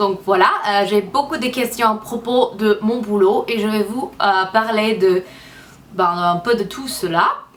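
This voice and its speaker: A woman speaks very slowly in a fairly high pitch, with noticeable background noise in the clip. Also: ordinary pitch variation. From United States. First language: English (speaking French). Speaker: beauty vlogger. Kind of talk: casual vlog talk to camera. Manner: halting, many hesitations.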